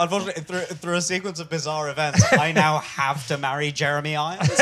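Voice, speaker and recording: Over noticeable background noise, a man with a London accent speaks very fast in a fairly high voice with fairly even intonation. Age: young. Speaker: stand-up comedian. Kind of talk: live comedy podcast interview. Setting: stage with live audience.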